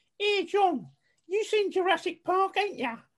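A put-on character voice at an extremely high pitch comes with an Essex accent at a moderate pace. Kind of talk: casual, colloquial.

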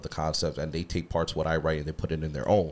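The recording is very clean, with a silent background. A man talks at a very deep, low pitch. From Hawaii. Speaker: radio host and music producer. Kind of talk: casual chat. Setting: studio.

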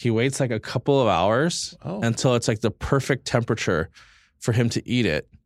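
The voice has a Californian accent and a dry, close sound with no echo in a very clean recording with a silent background. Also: man, medium pitch for a man, ordinary pitch variation, moderate pace. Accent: Californian American. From US West Coast, East Los Angeles. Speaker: chef. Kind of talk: casual chat.

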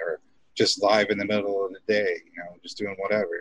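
This is a man's voice. He speaks at a fairly quick pace. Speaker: cannabis show host. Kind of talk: casual chat.

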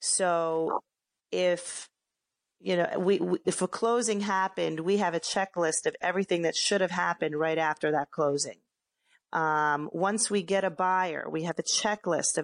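In an ordinary speaking voice, a woman with a fairly low pitch and an American accent talks at a moderate pace with fairly even intonation and very even loudness, the sound dry and close with no echo against a quiet background. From Philadelphia, US. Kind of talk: casual interview.

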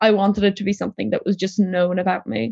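Very fast speech comes from a woman with an Irish accent, the sound dry and close with no echo. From Ireland, Tipperary (from Poland, moved at six). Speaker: recent graduate, interviewee. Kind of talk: interview.

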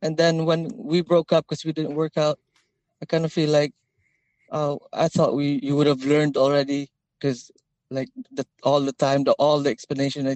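This man has a plain, everyday voice pitched fairly high. He speaks at a moderate pace with fairly even intonation. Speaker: caller. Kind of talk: casual chat. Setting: phone call.

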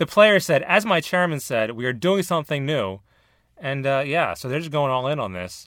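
A man with a General American accent speaks in a normal speaking voice, fairly high in pitch, with lively intonation at a moderate pace on a very clean recording with a silent background. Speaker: podcast host. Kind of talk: casual banter.

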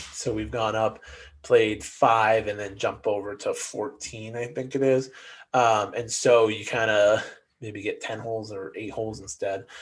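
Medium-pitched man, somewhat breathy, at a fairly slow pace against a quiet background. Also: fairly even intonation, big swings in loudness. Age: 30s. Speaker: golf podcast co-host. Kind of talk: casual chat.

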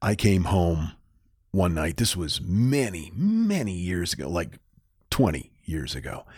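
An American accent at a fairly slow pace with lively intonation, in a very clean recording with a silent background. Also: man, very deep, low pitch for a man. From northern Maine, US. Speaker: podcast co-host, storyteller. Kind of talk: casual storytelling chat.

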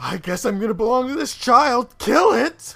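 A man's put-on character voice, extremely high-pitched, with lively intonation at a moderate pace. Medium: actual play. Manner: blunt, sardonic.

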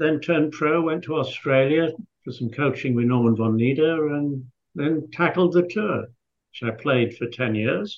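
In a Yorkshire accent, a man speaks at a fairly high pitch. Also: ordinary pitch variation, fairly slow pace. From northern England, Scarborough, Yorkshire. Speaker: golf course architect and former pro golfer. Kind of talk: interview.

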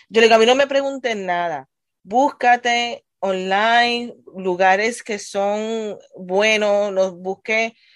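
The speech proceeds at a very slow pace and its pitch varies in an ordinary way. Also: woman, fairly high pitch for a woman. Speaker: adult education teacher. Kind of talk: casual chat.

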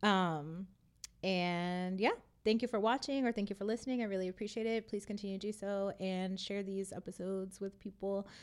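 In a very clean recording with a silent background, a woman with a medium pitch uses a plain, everyday voice, fairly even intonation and a fairly quick pace. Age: 20s. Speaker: podcast host. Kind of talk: casual chat; show intro and outro.

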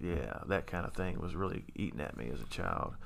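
In an American accent, a man speaks very deep and low with vocal fry, and room echo is audible. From Kentucky, Louisville. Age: 30s. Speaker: person in addiction recovery. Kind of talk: testimony.

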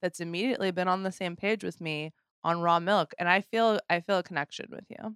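A woman speaks in a normal speaking voice. Her pitch sits fairly low, and her pace is fairly quick. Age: 40s. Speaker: podcast host. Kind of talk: casual interview chat.

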